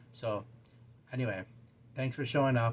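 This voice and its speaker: The voice is somewhat breathy, moving at a fairly quick pace in a monotone, flat intonation. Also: man. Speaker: booktube channel host. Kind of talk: casual talk to camera. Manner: halting, stumbling over words.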